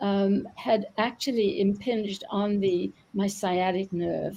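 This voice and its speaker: A woman's medium-pitched voice, somewhat breathy, with a dark, mellow tone and fairly even intonation. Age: 70s. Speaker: retired doctor and author. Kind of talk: interview. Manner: halting, many fillers.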